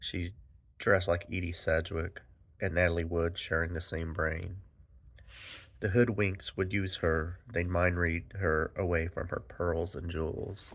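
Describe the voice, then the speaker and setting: On a very clean recording with a silent background, a man speaks in a somewhat breathy voice with fairly even intonation. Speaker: poet and anthology editor. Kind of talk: poetry reading.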